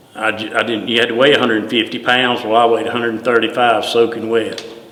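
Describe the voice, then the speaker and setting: A man with a North Carolina accent speaks at a medium pitch. The room echoes audibly and background noise is noticeable. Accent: Southern US (North Carolina). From US South, Greensboro, North Carolina. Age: 60s. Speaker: retired deputy fire chief. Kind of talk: oral history interview. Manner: halting, many fillers and repeats.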